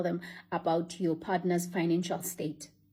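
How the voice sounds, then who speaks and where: Her tone dark, mellow and somewhat breathy, a woman speaks at a moderate pace. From Africa. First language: African language, not English. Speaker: vlogger. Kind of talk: casual monologue to camera.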